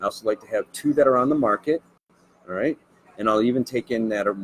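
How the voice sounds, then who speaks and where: The background noise is noticeable. Through it, a man is talking. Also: dry, close sound with no echo. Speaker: real estate agent. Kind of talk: casual interview chat. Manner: fast.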